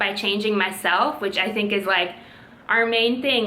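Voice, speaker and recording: A woman's medium-pitched, monotone, flat delivery at a moderate pace, over noticeable background noise. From Latvia. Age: 20s. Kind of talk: casual talk to camera.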